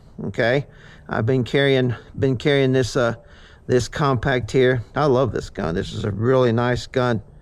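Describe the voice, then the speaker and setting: At a moderate pace, a man talks in a medium pitch. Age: 60s. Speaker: hunter and gun owner vlogger. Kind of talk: casual gun review vlog. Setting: outdoors at shooting range. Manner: halting, many fillers and repeats.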